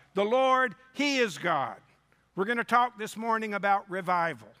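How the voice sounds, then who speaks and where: A man uses a raised, projected voice, high in pitch with a bright, sharp tone. His pitch variation is ordinary, and the recording is very clean with a silent background. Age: 60s. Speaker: revival preacher. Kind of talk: sermon. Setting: church with congregation.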